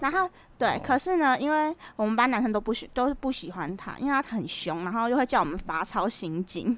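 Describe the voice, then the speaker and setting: Talking at a fairly quick pace, a woman uses a fairly high pitch that swings very widely. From Taiwan, Keelung. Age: 20s. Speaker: podcast co-host. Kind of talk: casual chat.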